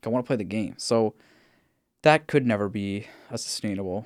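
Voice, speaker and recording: An animated tone delivered at a fairly quick pace. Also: man. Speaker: podcast host. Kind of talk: casual chat. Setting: video call recorded remotely. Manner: rambling, animated, interrupts.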